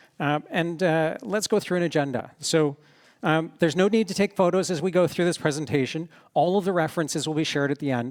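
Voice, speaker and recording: A man at a fairly quick pace with ordinary pitch variation, on a very clean recording with a silent background, dry and close with no echo. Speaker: security professional. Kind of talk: conference talk. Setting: stage with audience. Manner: fast; halting, many fillers.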